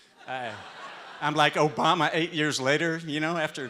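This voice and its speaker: In a Texan accent, a man speaks at a moderate pace with a bright, sharp tone. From Texas. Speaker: restaurant owner. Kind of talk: live talk. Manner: halting.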